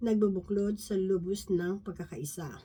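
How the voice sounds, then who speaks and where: A woman speaks at a fairly slow pace with a dark, mellow tone. Her voice is somewhat breathy, with ordinary pitch variation. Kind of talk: Bible study talk. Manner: halting.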